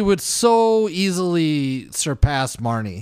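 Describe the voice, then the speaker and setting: On a very clean recording with a silent background, a man speaks. His pitch is high and swings very widely. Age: 30s. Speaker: podcast co-host. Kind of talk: casual chat.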